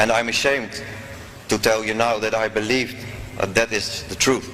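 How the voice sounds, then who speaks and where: With a Dutch accent and monotone, flat intonation, a man talks at a moderate pace over noticeable background noise. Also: medium pitch for a man. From Netherlands. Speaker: former politician, convert. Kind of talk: testimony.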